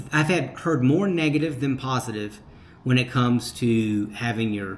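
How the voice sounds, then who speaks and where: Using lively intonation, a man with a normal speaking voice talks at a moderate pace. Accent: American. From United States. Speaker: retired expat vlogger. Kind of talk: casual vlog, reading and answering viewer comments.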